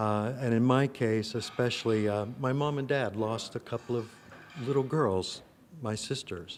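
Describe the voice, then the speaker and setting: With an American accent, a man speaks in an unremarkable speaking voice at a medium pitch and a moderate pace, with ordinary pitch variation. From US Midwest, rural Illinois. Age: 60s. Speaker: actor and playwright. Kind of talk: interview. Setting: film festival. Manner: reflective, with many fillers.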